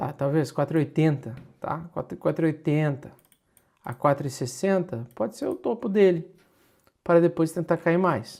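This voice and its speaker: A man's fairly high-pitched voice at a moderate pace, with ordinary pitch variation, on a very clean recording with a silent background. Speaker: crypto market analyst. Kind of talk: livestream market analysis. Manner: exasperated, emphatic.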